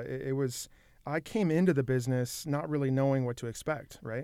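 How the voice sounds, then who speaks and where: The voice carries an American accent. Its tone is dark and mellow. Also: man. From Michigan, Saginaw. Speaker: arena ticketing director. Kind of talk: casual interview.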